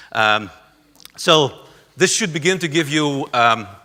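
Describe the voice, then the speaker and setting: With a Dutch accent, a man speaks at a medium pitch and a fairly slow pace, his intonation lively. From southern Netherlands, rural area near Belgian border. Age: 50s. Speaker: conference speaker on community arts. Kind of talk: lecture. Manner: halting, many fillers.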